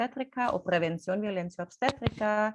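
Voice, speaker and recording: This woman speaks with a non-native accent. Her pace is moderate. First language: not Spanish (speaking Spanish). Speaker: birth rights activist, doula. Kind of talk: presentation. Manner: halting, many fillers.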